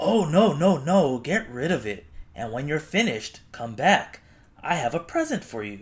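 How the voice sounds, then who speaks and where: Using a put-on character voice, a man with a fairly high pitch makes very wide pitch swings and big swings in loudness. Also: moderate pace. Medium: read story.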